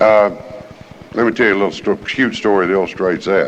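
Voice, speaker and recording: A man with an American accent at a fairly quick pace, amid noticeable background noise. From US South, Alabama (Jefferson County). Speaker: recovery program speaker. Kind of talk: recovery meeting talk.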